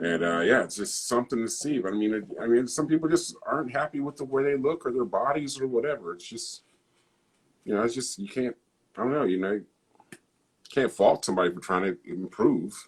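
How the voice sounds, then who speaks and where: A man with a normal speaking voice talks at a fairly quick pace in a medium pitch, his intonation lively. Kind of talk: casual chat.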